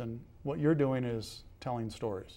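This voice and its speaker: A man with a normal speaking voice, medium in pitch, ordinary pitch variation and a fairly quick pace. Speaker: professor and interviewer. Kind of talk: interview question.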